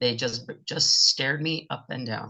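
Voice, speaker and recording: The speaker is a man with a fairly high pitch and a plain, everyday voice. He goes at a fairly slow pace with ordinary pitch variation. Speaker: fundraising auctioneer. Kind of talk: interview answer.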